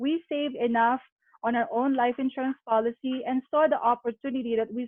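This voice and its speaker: A woman with a high pitch speaks at a moderate pace. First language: not English. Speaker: former nurse turned financial sales agent. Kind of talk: business opportunity presentation.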